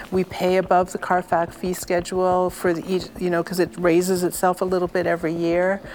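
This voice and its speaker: The speech runs at a fairly quick pace with hardly any pauses and a monotone, flat intonation. Noticeable background noise is present. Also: woman, medium pitch for a woman. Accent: Canadian. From Ontario, Canada. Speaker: curator. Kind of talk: interview. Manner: halting, many repetitions.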